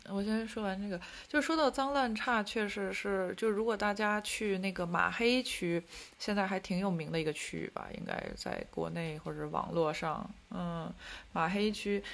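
A woman's unremarkable speaking voice at a medium pitch, with ordinary pitch variation and a moderate pace. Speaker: podcast co-host living in Paris. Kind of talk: casual chat.

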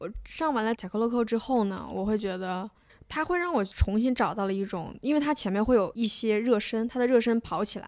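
In a very clean recording with a silent background, a woman with a fairly high pitch and a normal speaking voice talks at a fairly quick pace with ordinary pitch variation. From Beijing, China. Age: 20s. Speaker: former national team diver. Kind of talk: casual chat.

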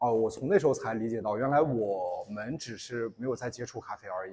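Somewhat breathy and dark, mellow in tone, a man races at a very fast pace with lively intonation. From Inner Mongolia. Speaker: barista and coffee instructor. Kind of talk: public talk.

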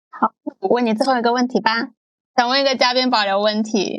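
Using a normal speaking voice, a woman talks at a fairly quick pace with fairly even intonation. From Guangdong. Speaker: podcast host. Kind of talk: podcast interview.

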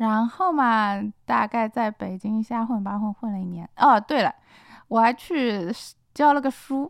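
A plain, everyday voice comes from a woman with a fairly high pitch and ordinary pitch variation at a fairly slow pace. The recording is very clean, with a silent background and a dry, close sound with no echo. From Shanghai. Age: 40s. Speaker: novelist. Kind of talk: casual chat. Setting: studio.

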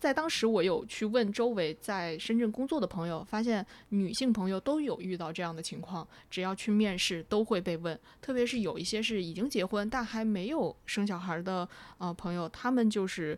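A woman with a normal speaking voice at medium pitch, lively intonation and a moderate pace, on a very clean recording with a silent background. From China, Wuhan. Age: 30s. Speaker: podcast co-host, former TV editor. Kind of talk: casual chat.

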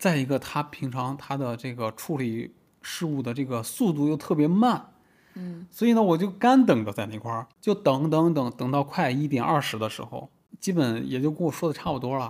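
Here a man speaks at a moderate pace. His fairly high voice has lively intonation. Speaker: podcast host. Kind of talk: casual chat.

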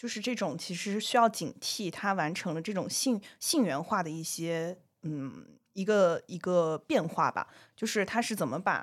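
An ordinary speaking voice at a fairly slow pace with ordinary pitch variation, on a very clean recording with a silent background. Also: woman, medium pitch for a woman. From southern China. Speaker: podcast co-host. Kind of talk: casual chat.

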